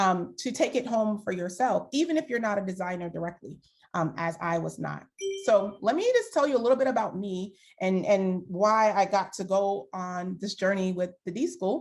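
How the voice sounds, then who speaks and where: A woman talks at medium pitch in a New York accent. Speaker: design thinking coach, former HR executive. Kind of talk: guest talk to workshop participants. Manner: casual, filler-heavy.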